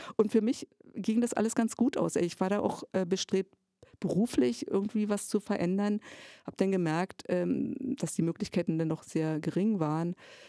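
A woman's medium-pitched voice in a dark, mellow tone, lively in intonation at a moderate pace, with a dry, close sound and no echo. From eastern Germany, Jessen (Elbe-Elster area). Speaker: theatre educator. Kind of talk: casual interview chat.

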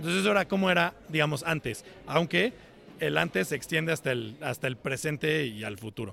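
Speaking fairly quickly with a Mexican accent, a man uses a fairly high pitch, a bright, sharp tone and vocal fry. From Mexico, Cuernavaca. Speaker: software engineer, tech company developer relations. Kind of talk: interview.

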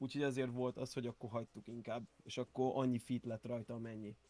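A man speaks in a flat monotone on a very clean recording with a silent background and a dry, close sound with no echo. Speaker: music producer and rapper. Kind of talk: casual interview.

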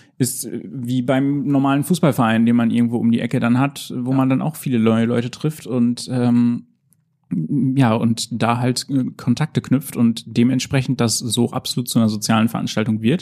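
This man talks at a moderate pace in a medium pitch, his tone dark and mellow and his intonation fairly even. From Emsland, Lower Saxony, northern Germany. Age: 20s. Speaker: esports organizer and art history student. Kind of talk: interview.

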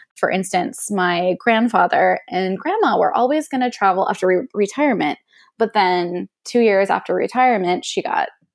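In a very clean recording with a silent background, a woman with a plain, everyday voice speaks at a moderate pace in a fairly high pitch with lively intonation. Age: 30s. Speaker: travel blogger. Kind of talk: casual interview chat.

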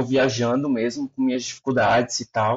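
Lively intonation runs through a man's voice at a medium pitch. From Aracaju, Sergipe, Brazil. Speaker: comedy content creator. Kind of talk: casual chat.

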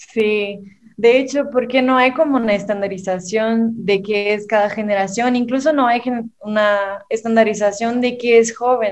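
This woman's fairly high voice moves at a fairly slow pace with fairly even intonation. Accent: Mexican. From southern Brazil. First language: Portuguese (speaking Spanish). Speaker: digital marketing specialist. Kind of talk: casual chat.

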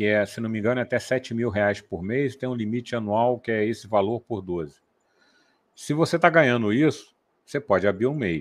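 With a normal speaking voice, a man talks at a moderate pace and medium pitch with lively intonation against a quiet background. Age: 60s. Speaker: software developer, co-host. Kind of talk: casual chat. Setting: live stream.

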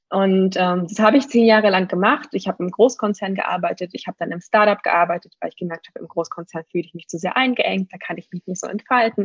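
A woman talks at a very fast pace with hardly any pauses, somewhat breathy, at a medium pitch with ordinary pitch variation and big swings in loudness, in a dry, close sound with no echo. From Germany. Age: 30s. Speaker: needs coach. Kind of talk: interview.

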